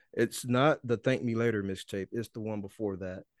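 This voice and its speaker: A man talks at a moderate pace with ordinary pitch variation. The sound is dry and close with no echo, over a quiet background. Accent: Mississippi. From Mississippi. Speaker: rapper and podcaster. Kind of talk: interview conversation.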